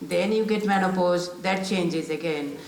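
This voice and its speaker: Fairly low-pitched woman's voice with ordinary pitch variation, audible room echo and noticeable background noise. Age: 60s. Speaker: panellist, local councillor and business owner. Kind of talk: panel discussion. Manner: halting.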